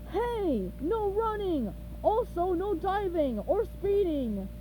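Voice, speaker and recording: A woman shouts in a put-on character voice at a very slow pace. Background noise is clearly audible. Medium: read story. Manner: shouting.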